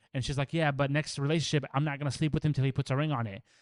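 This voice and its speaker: In a non-native accent, the speaker talks at a very fast pace in an animated tone, the sound dry and close with no echo against a quiet background. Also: man. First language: not English. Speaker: podcast co-host. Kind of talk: casual chat.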